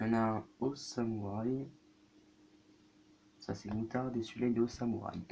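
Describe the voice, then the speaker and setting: Soft-spoken and dark, mellow in tone, a man talks at a medium pitch with fairly even intonation and a fairly slow pace. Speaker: youtuber. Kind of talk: food tasting vlog.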